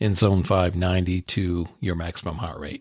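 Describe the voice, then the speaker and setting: A man with a very deep, low pitch talks at a fairly quick pace. The recording is very clean, with a silent background and a dry, close sound with no echo. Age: 60s. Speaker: podcast host. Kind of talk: podcast monologue.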